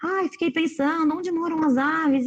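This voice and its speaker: A woman talks at a moderate pace. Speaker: educator speaking to teachers. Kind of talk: online lecture. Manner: animated.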